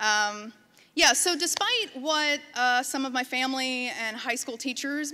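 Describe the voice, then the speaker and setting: A woman speaks loudly at a high pitch. Her tone is bright and sharp. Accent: American. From western Pennsylvania, near Pittsburgh. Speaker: designer and photographer, conference speaker. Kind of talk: conference talk. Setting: stage with audience. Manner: casual, filler-heavy. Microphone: microphone close to her.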